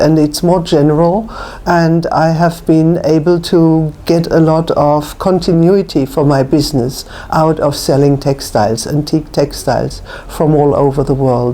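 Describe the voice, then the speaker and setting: With noticeable background noise behind her, a woman with a very deep, low pitch speaks fairly slowly at a very even loudness and with fairly even intonation. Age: 70s. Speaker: antique rug and textile dealer. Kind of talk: interview.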